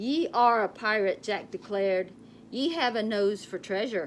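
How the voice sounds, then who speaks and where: A gruff, put-on character voice at a moderate pace, with clear background noise. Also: woman, fairly high pitch for a woman. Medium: read story. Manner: gruff, pirate speech with ye and arr.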